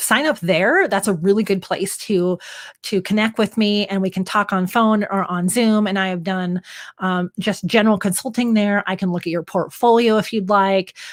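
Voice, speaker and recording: On a very clean recording with a silent background, a woman with an American accent speaks at a moderate pace, medium pitch, and fairly even intonation. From US Northwest. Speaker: pet photographer and educator. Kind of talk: live stream Q&A chat. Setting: live stream from studio.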